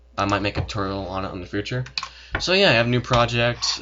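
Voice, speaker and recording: Against noticeable background noise, a man speaks very fast with fairly even intonation. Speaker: software tutorial maker. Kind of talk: tutorial. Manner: casual with many fillers.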